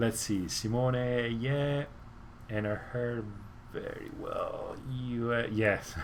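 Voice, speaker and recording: A man speaks at a very slow pace in a space with audible room echo. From Italy, Rome. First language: Italian. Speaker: motorcycle YouTuber. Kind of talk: live stream Q&A chat. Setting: home garage. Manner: halting, many fillers.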